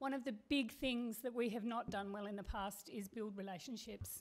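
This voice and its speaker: In an Australian accent, a woman speaks at a fairly high pitch with ordinary pitch variation. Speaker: community radio station manager. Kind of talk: presentation to council. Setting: council meeting. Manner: fast.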